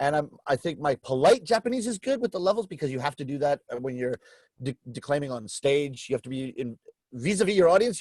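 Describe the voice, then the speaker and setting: Speaking at a very fast pace, a man uses lively intonation in a Canadian accent. His pitch sits fairly high. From Canada. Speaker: rakugo comic storyteller. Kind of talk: interview answer.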